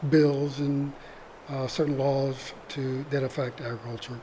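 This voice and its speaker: Over noticeable background noise, a man with an American accent speaks in a fairly high pitch with fairly even intonation. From US South, northeast Mississippi. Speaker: retired attorney, community theatre actor. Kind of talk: interview conversation. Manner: soft-spoken.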